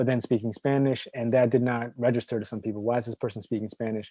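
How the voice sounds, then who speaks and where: The speaker is a man with an American accent. His medium-pitched voice has monotone, flat intonation. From New Hampshire, US (Dominican family). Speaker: doctoral researcher. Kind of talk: academic discussion. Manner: halting, many fillers and restarts.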